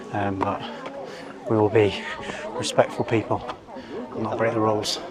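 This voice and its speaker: Music plays behind a man with an English accent. His fairly low voice moves at a fairly quick pace in a flat monotone. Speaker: travel vlogger. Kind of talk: vlog narration. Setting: outdoors. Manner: quiet.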